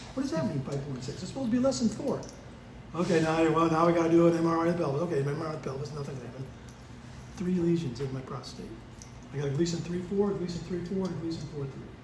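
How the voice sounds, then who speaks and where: This man talks very fast at a high pitch with ordinary pitch variation. Audible room echo surrounds his voice. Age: 70s. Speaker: church member. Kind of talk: testimony. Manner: animated.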